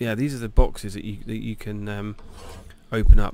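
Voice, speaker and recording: A soft-spoken man talks at a moderate pace with a fairly low pitch and fairly even intonation. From Britain. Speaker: gaming YouTuber. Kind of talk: let's play commentary. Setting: home recording while playing a game. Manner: halting, filler-heavy.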